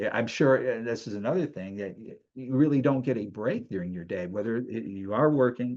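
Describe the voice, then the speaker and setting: Over a quiet background, a man with a normal speaking voice at medium pitch goes at a fairly quick pace with hardly any pauses and ordinary pitch variation. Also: big swings in loudness. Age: 60s. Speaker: show host and kidney donor. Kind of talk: interview.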